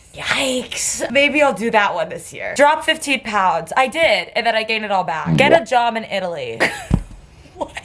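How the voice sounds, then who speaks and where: With an American accent, a woman of fairly high pitch speaks at a moderate pace with very wide pitch swings amid noticeable background noise. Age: 20s. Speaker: student vlogger. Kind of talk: casual vlog monologue. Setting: childhood bedroom.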